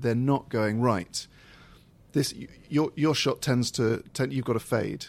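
An unremarkable speaking voice belongs to this man, medium in pitch. He speaks at a fairly slow pace with fairly even intonation. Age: 30s. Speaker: comedian and radio presenter. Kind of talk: casual chat.

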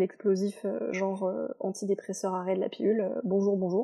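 A woman holds a medium pitch while keeping to a moderate pace. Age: 20s. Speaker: podcast guest sharing personal testimony. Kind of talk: testimony. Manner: hesitant, many fillers.

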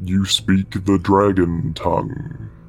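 A man's rumbling put-on character voice, very deep and low in pitch, over light background noise.

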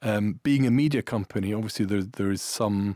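A man speaks at a fairly quick pace in an Irish accent. The recording is very clean, with a silent background. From Ireland and Italy. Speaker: media executive. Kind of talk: interview.

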